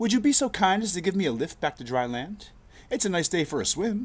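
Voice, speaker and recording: A man uses a put-on character voice, squeaky and high in pitch. He talks at a very fast pace. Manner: polite, requesting.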